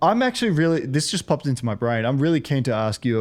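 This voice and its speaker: A man speaks with an Australian accent. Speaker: podcast host. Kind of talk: interview podcast.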